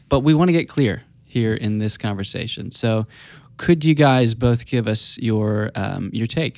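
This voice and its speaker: Speaking at a fairly slow pace with a Southern US accent, a man uses a medium pitch with ordinary pitch variation. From US South. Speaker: enneagram coach. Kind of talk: casual chat.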